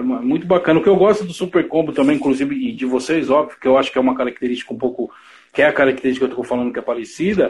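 A man's fairly high voice, very fast and lively in intonation. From São Paulo, Brazil (east zone). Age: 40s. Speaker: online show host, musician. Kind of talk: casual interview chat. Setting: online live stream.

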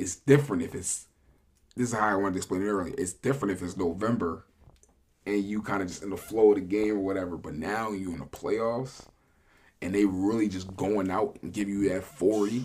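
A man with a normal speaking voice and fairly low pitch talks at a fairly quick pace. His pitch varies in an ordinary way. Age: 20s. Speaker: sports podcast co-host. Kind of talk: casual chat.

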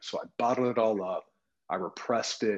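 A plain, everyday voice from a man with an American accent, medium pitch and a fairly quick pace. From US suburbs. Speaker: wellness coach. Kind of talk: podcast interview.

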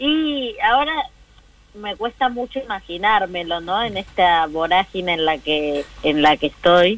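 A woman's lively intonation at a very slow pace. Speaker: politician. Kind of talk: interview. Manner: halting.

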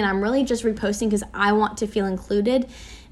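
With an ordinary speaking voice, this woman keeps her fairly high pitch on a fairly even line. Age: 20s. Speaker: podcast host. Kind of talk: solo reflective monologue. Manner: casual, many fillers.

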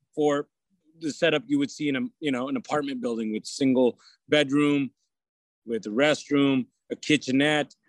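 Recorded with a dry, close sound and no echo, a man with an American accent talks at a moderate pace in a fairly high pitch. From California, Modesto. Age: 40s. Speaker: county supervisor. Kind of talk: radio interview.

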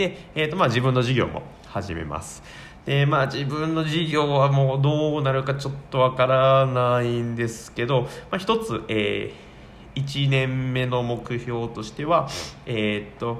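A man talks fairly slowly with ordinary pitch variation, and audible room echo can be heard around him. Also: medium pitch for a man. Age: 20s. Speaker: office worker and hobby blogger/YouTuber. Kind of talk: casual solo talk radio monologue. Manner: halting, many fillers.

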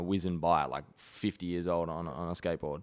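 On a very clean recording with a silent background, a man with an Australian accent talks very fast in a very deep, low pitch. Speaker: tennis player and podcast co-host. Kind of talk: casual chat. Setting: studio. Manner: animated.

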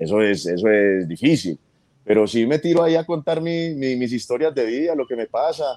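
Dark, mellow, medium-pitched male voice with very wide pitch swings, in a dry, close sound with no echo. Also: moderate pace. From Colombian, raised in New York City. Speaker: comedian. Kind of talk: interview. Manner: repeats words, halting.

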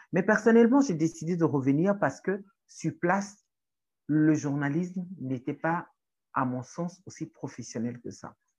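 A woman with a strong Togolese accent speaks at a fairly slow pace and fairly low pitch, with lively intonation. Her loudness swings a lot against a quiet background. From Togo (Lomé). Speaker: writer, activist and journalism lecturer. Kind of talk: interview conversation. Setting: in person in Lomé.

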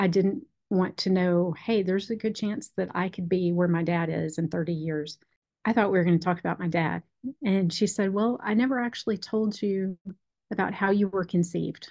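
Here a woman has a plain, everyday voice, talking at a moderate pace with ordinary pitch variation. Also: medium pitch for a woman. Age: 40s. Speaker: pastor's wife sharing her donor-conceived story. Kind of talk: interview testimony.

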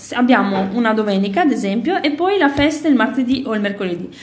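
With audible room echo and noticeable background noise, a woman speaks at a fairly quick pace in a fairly high pitch with lively intonation. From Italy. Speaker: podcast co-host. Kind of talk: casual chat.

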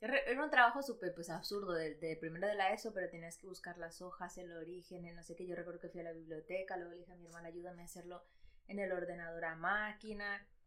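A woman's medium-pitched voice at a very fast pace with ordinary pitch variation. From Ecuador, raised in Madrid from age 8. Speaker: podcast co-host. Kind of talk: casual chat.

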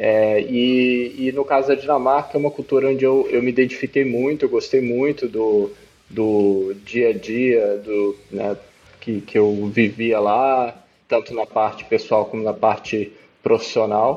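A man with a plain, everyday voice, medium in pitch, fairly even in intonation and fairly slow in pace. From Brazil (moved around several regions, born in Peru). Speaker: startup CEO. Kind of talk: interview.

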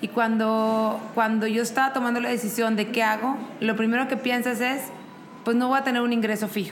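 A woman's fairly high-pitched voice, fairly quick and monotone with flat intonation, at very even loudness, with audible room echo and noticeable background noise. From Mexico, Monterrey. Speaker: event business owner and mother. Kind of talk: interview conversation. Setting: coworking space.

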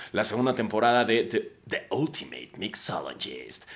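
A man's animated voice. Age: 30s. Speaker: podcast host. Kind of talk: casual monologue.

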